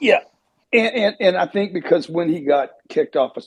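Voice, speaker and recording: A man uses an ordinary speaking voice, talking fairly quickly and with lively intonation. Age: 60s. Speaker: panel speaker. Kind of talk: online panel discussion. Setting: audio chat room online.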